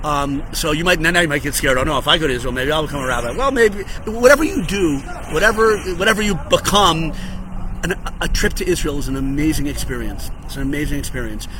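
Noticeable background noise sits behind a man's voice. He talks at a very fast pace with a fairly high pitch. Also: lively intonation. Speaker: rabbi. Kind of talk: short religious teaching video. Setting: outdoors on a hotel patio. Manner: animated.

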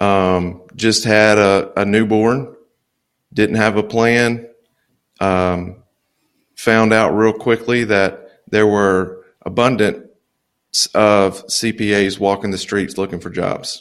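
The speaker has a Louisiana accent and talks at a very slow pace with fairly even intonation. Long pauses come often. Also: man. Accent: US Southern (Louisiana). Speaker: accountant and business consultant. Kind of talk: interview conversation. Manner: laid back.

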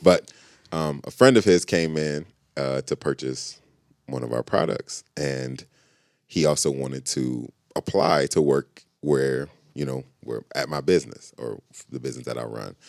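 Speaking at a fairly slow pace, a man with a very deep, low voice shows ordinary pitch variation and big swings in loudness in a dry, close recording with no echo. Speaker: creative director. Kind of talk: casual chat. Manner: blunt, direct.

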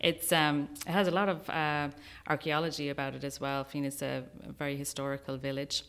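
A woman with an Irish accent speaks at a fairly quick pace, her pitch very deep and low. Her intonation stays fairly even, and the recording is very clean with a silent background. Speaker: wedding venue owner. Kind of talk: radio interview. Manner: hesitant, many fillers.

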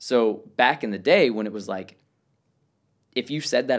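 A man speaks at a moderate pace and medium pitch with ordinary pitch variation, on a very clean recording with a silent background. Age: 20s. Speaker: parkour athlete. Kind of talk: casual chat. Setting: in-person interview at a summer camp. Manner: loud.

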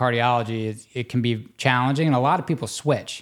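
A man with an American accent and a plain, everyday voice, medium in pitch, with ordinary pitch variation at a moderate pace, on a very clean recording with a silent background. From US South, Louisiana near New Orleans. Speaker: interventional cardiologist. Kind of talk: casual interview.

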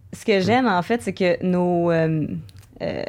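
A woman talks at a moderate pace in an unremarkable speaking voice. Her pitch varies in an ordinary way. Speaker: musician and Twitch streamer. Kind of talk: casual interview chat.

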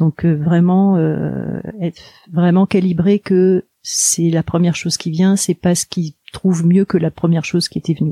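Fairly low-pitched, somewhat breathy woman with a dark, mellow tone, a monotone, flat intonation and a fairly slow pace, in a dry, close sound with no echo. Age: 50s. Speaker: hypnotherapist. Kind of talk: interview. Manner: halting.

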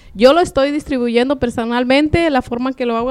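A woman speaks at a moderate pace with fairly even intonation. She has a normal speaking voice. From Michoacán, Mexico. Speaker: poet. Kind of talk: interview.

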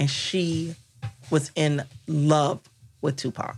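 With an American accent, a woman speaks at a very deep, low pitch with fairly even intonation. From Washington, D.C. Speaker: attorney and entrepreneur. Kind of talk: casual chat.

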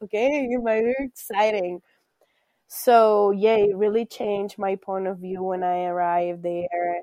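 A woman's medium-pitched voice with a Spanish accent, fairly slow and fairly even, in a dry, close sound with no echo. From Colombia. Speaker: high school teacher, former au pair. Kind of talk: interview, casual conversation. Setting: video call, remote.

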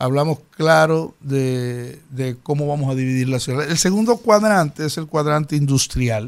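A man's fairly high voice, a plain, everyday voice, at a fairly slow pace with hardly any pauses and ordinary pitch variation. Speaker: mayoral candidate. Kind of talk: studio interview.

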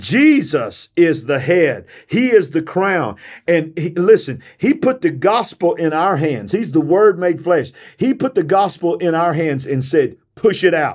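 Against a quiet background, a man with a high pitch speaks in an animated tone at a fairly slow pace, his intonation lively. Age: 50s. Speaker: preacher and podcast host. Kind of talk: sermon. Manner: animated, fervent preacher's delivery; loud, rousing call-and-response pitch.

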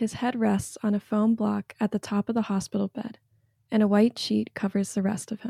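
In a very clean recording with a silent background and a dry, close sound with no echo, a woman with an American accent speaks at a moderate pace in a fairly high, somewhat breathy voice with a dark, mellow tone and monotone, flat intonation. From North Carolina. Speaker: recent graduate, religious studies. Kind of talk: reading aloud personal essay. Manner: gentle, measured.

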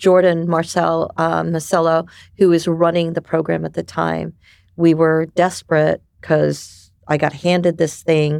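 A woman talks at a fairly slow pace. The recording is very clean, with a silent background. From New York City. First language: Japanese. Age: 50s. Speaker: ecosystem builder and community director. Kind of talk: casual interview chat.

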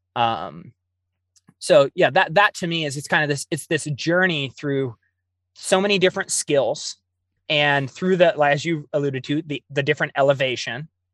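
Over a quiet background, a man with a General American accent and a plain, everyday voice speaks at a moderate pace, his fairly high pitch varying in an ordinary way in a dry, close sound with no echo. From US Pacific Northwest, Oregon. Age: 30s. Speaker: adventure runner and mountaineer, educator. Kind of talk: interview. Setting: video call.

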